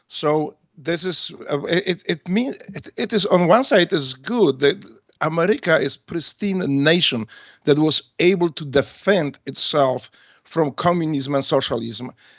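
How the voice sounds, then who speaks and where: Fairly slow speech with a Polish accent. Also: man, high pitch for a man, lively intonation. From Poland. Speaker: retired navy special forces veteran and author. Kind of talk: radio interview. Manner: halting, many fillers.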